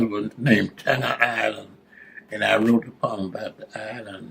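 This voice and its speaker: In a Southern US accent, a man talks at a fairly slow pace and medium pitch. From South Carolina. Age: 80s+. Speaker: retired educator, poet, World War Two veteran. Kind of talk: interview answer.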